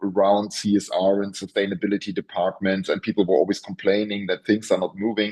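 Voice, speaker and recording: A man with a German accent, fairly low-pitched, talking at a very fast pace. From Germany. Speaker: professor. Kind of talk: interview. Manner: halting, many repetitions.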